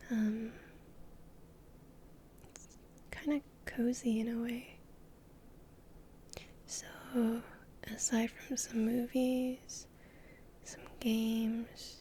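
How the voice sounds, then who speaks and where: Soft-spoken and very slow, the voice moves along with long, frequent pauses. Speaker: VTuber. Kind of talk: ASMR rambling talk.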